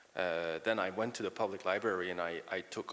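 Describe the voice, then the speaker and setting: A man with a Quebec French accent at a moderate pace. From Quebec City, Canada. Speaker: comics author. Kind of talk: panel interview. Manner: halting.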